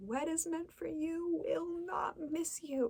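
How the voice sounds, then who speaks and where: A woman speaks softly. Her pitch swings very widely. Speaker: ASMR creator. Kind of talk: ASMR tarot card reading. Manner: soft-spoken.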